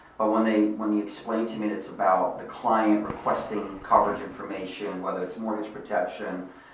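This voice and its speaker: Over noticeable background noise and audible room echo, a man with a fairly low pitch talks at a fairly quick pace with hardly any pauses, monotone, flat intonation and big swings in loudness. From Bosnia, then Germany from age six. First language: Bosnian. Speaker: life insurance sales executive. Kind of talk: podcast interview.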